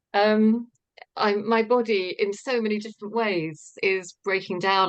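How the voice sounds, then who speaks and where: Her voice is a plain, everyday voice, and this woman speaks at a moderate pace with fairly even intonation. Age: 60s. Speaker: participant. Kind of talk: testimony.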